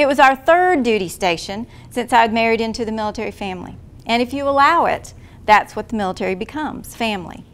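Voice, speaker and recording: Talking very fast, a woman with a Southern US accent uses lively intonation at a fairly high pitch. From US South (small town near Talladega, Alabama). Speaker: military spouse and conference speaker. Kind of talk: personal story read aloud to an audience. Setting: conference talk with audience.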